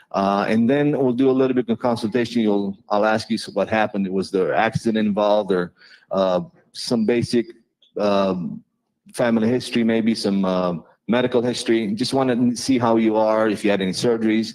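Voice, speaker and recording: A man with a non-native accent at a medium pitch, a fairly quick pace and very even loudness. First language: not English. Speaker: chiropractor. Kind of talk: informal presentation to a live audience. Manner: animated.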